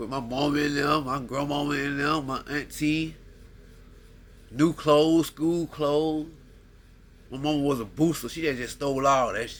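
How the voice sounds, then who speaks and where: A man's fairly high voice at a moderate pace, with long, frequent pauses. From US South. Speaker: podcast host. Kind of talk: casual monologue. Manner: rambling, animated.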